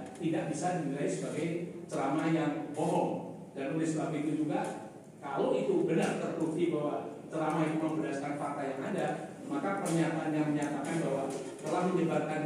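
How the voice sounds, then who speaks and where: The speech moves at a fairly quick pace. Strong room echo and noticeable background noise surround it. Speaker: witness. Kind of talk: formal testimony reading. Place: hall. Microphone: camera far.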